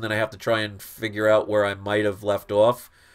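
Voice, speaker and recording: Speaking at a moderate pace in a fairly low voice, a man with a New York accent comes through on a very clean recording with a silent background. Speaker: comic book collector YouTuber. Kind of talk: live stream Q&A. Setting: live stream. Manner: casual, conversational.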